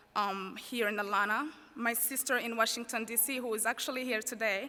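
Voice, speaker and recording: A woman with a bright, sharp tone and fairly high pitch, at a moderate pace. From Rwanda. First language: French. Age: 20s. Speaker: student speaker, college graduate. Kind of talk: commencement speech. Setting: stage with audience.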